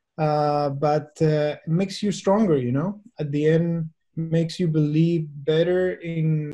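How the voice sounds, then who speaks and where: In a Chilean accent, a man speaks at a fairly slow pace with fairly even intonation. His voice is high-pitched, with a dark, mellow tone. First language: Spanish. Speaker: venture capital investor. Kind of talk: webinar talk. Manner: halting.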